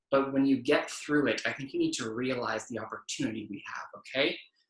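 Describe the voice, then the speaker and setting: A man talks loudly at a moderate pace, his fairly high pitch carrying lively intonation and a bright, sharp tone. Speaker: stand-up comedian. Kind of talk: stand-up.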